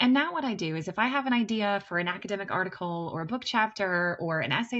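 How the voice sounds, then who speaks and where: A woman with a Kentucky Appalachian accent speaks at a very fast pace and a medium pitch with lively intonation. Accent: Kentucky mountain. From US, Kentucky (Appalachian). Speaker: teacher, writing instructor. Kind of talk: lecture.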